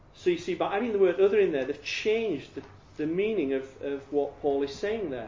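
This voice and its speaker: Here a man speaks with a Yorkshire accent. His voice is high, and his pace is moderate. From Yorkshire, England. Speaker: evangelist teaching about Jehovah's Witnesses. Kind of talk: talk to a group. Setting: room with audience, handout, no PowerPoint.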